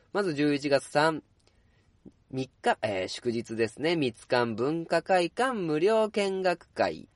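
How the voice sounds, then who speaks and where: Very wide pitch swings from a man with a fairly high pitch, at a very slow pace, in a dry, close sound with no echo. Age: 30s. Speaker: podcast host, bookstore worker. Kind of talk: casual solo talk. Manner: relaxed, many filler words.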